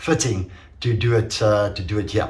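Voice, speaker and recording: A man speaks at medium pitch with ordinary pitch variation. There is audible room echo and noticeable background noise. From Portuguese heritage. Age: 50s. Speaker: amateur enduro racer and business owner. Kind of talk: casual video review. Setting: home workshop. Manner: hesitant, many fillers.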